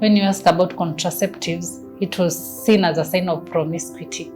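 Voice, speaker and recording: Music plays in the background as a woman with a Kenyan accent speaks at a moderate pace. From Kenya (Nairobi). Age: young. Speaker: family planning advocate. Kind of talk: personal testimony.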